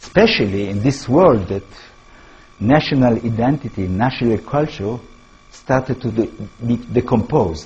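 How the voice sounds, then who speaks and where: With music in the background, a man with an Israeli accent talks at a moderate pace and medium pitch, using ordinary pitch variation and long, frequent pauses. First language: Hebrew. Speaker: professor and author. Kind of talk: lecture. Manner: halting, with self-corrections.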